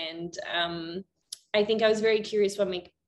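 A normal speaking voice from a woman, at a moderate pace with ordinary pitch variation. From Canada. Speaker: psychotherapist. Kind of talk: interview.

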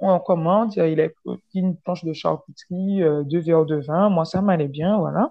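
Delivered at a fairly slow pace, an ordinary speaking voice moves with ordinary pitch variation. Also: woman. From French Caribbean. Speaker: podcast guest sharing dating stories. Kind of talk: casual storytelling chat.

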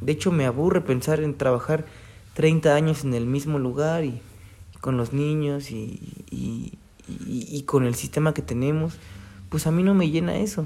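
The speaker has a dark, mellow tone and a fairly slow pace. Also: man, fairly high pitch for a man, ordinary pitch variation. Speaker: podcaster. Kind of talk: casual monologue. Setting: at home by a window. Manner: hesitant, repeats words.

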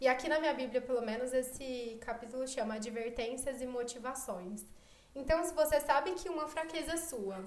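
A woman with a high-pitched voice talks at a moderate pace with ordinary pitch variation. Room echo is audible. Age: 20s. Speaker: architect, podcast guest. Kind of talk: casual chat.

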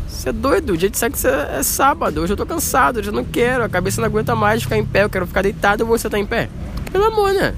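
Noticeable background noise sits under a man who speaks at a very fast pace. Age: 20s. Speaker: podcast guest, host's date. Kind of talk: casual chat. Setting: outdoors in a public square.

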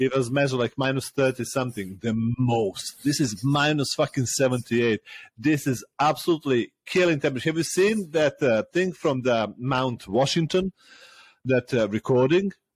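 In a Serbian accent, a man talks at medium pitch and a moderate pace with ordinary pitch variation and very even loudness, in a dry, close sound with no echo. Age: 30s. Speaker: podcast host. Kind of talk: casual chat. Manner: animated, laughs a lot.

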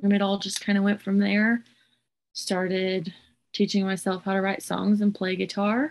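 This woman talks at a medium pitch with monotone, flat intonation. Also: moderate pace. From Southwest Oklahoma, Hobart. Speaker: singer-songwriter. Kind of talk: interview.

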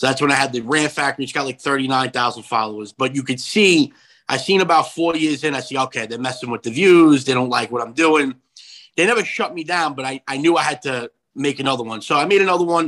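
A man's very fast voice with a New York accent, fairly high in pitch, bright and sharp in tone, with ordinary pitch variation, on a very clean recording with a silent background. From New York, Long Island. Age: 30s. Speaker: conservative comedian and commentator. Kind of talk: interview.

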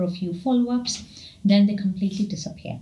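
A somewhat breathy woman talks at a fairly quick pace. Her intonation stays fairly even, and room echo is audible. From India. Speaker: Ayurvedic practitioner and medical doctor. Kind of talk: interview.

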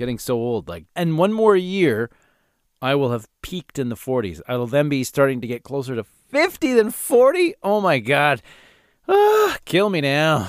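A man speaks in an animated tone at a fairly high pitch, with very wide pitch swings. His pace is moderate. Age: 40s. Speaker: podcast host, former radio host. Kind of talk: angry comedic rant, exaggerated complaining. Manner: exasperated.

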